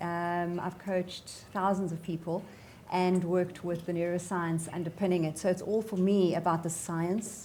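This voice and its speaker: Speaking with a South African accent, a woman has a fairly low pitch and a somewhat breathy sound. She goes at a moderate pace, with audible room echo. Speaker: sales coaching company CEO. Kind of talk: panel discussion. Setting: stage with audience.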